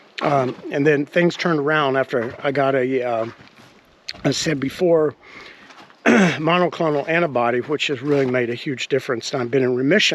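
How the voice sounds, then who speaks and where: Against noticeable background noise, a man with a fairly high voice speaks at a moderate pace with fairly even intonation. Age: 60s. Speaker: vlogger building a stone cottage. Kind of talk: casual vlog talk.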